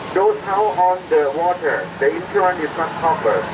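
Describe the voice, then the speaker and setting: A man's high voice at a moderate pace, with noticeable background noise. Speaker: tour guide. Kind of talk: tour commentary. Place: boat. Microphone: camera far.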